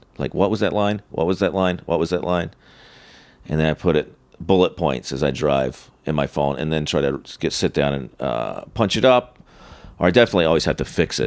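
This man speaks at a fairly quick pace in an American accent, his very deep, low voice carrying vocal fry and lively intonation. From North Carolina, US South. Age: 40s. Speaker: stand-up comedian. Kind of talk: casual interview chat, storytelling.

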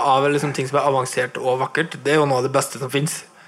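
Noticeable background noise sits behind a man talking. His pitch is fairly high and his pace fairly quick. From Nordmøre, Norway. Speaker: podcast host, guitarist. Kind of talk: live interview. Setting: record shop with live audience. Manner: talkative.

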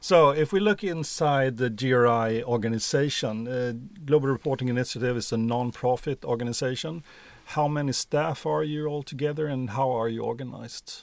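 With a Swedish accent, a man talks fairly quickly at a medium pitch with ordinary pitch variation. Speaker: podcast co-host. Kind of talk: interview.

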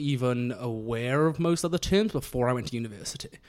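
With a South Welsh accent, a man talks at a fairly quick pace and ordinary pitch variation. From South Wales, Monmouthshire (Abergavenny). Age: 20s. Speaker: computer programmer sharing coming-out story. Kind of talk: casual interview.

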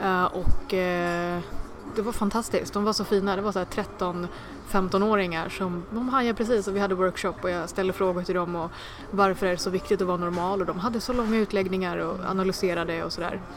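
Over noticeable background noise, a woman talks at a fairly quick pace with fairly even intonation and a medium pitch. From Sweden (adopted from India as infant). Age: 20s. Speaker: comedian. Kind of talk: interview. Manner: fast.

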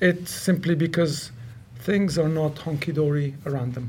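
Fairly high in pitch, a man's voice holds a fairly even intonation. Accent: Lebanese. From Lebanon, Beirut. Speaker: mountaineer and polar adventurer. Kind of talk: interview.

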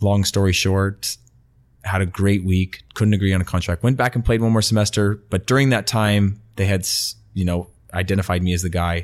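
A man with an American accent and a fairly low pitch, an unremarkable speaking voice, very even loudness, on a very clean recording with a silent background. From California, US. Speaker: retired professional footballer and football media presenter. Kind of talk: casual interview chat. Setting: podcast interview.

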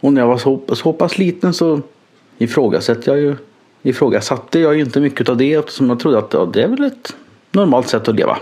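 A man talks at a fairly quick pace with a fairly high pitch. His pitch varies in an ordinary way and his loudness stays very even. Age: 30s. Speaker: nurse. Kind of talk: personal monologue. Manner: halting.

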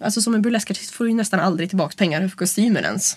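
Her voice is somewhat breathy, set at a medium pitch for a woman, with ordinary pitch variation. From rural Sweden. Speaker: burlesque performer and club producer. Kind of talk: interview.

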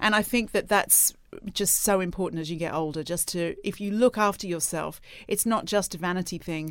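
An unremarkable speaking voice from a woman, medium in pitch with ordinary pitch variation and a fairly quick pace. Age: 40s. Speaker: magazine editor. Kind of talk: casual interview.

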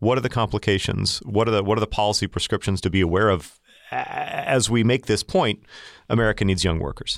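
In a very clean recording with a silent background and a dry, close sound with no echo, a man talks at a fairly low pitch with ordinary variation and a fairly quick pace. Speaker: podcast co-host, journalist. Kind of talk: podcast interview. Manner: repeats words, slightly halting.

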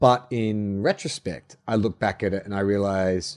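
Sounding dry and close with no echo, a man talks at a fairly slow pace in a fairly low pitch. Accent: Australian. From Melbourne, Australia. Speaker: actor and writer. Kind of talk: casual interview.

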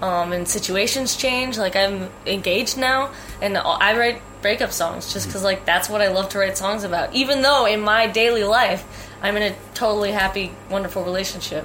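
With noticeable background noise, a woman speaks at a medium pitch with ordinary pitch variation. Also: fairly quick pace. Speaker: singer-songwriter. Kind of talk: interview.

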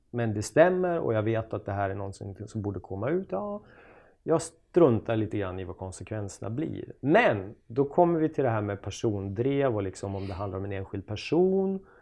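Here is a man with an ordinary speaking voice and a fairly low pitch. His intonation is lively and his pace moderate. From Sweden, Jämtland (Östersund). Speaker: journalist and author. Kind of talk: casual interview chat.

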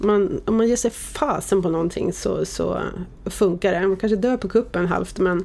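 Noticeable background noise is present throughout. Against it, a woman talks at a fairly slow pace. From Sweden, Oxelösund. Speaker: media executive. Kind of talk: interview.

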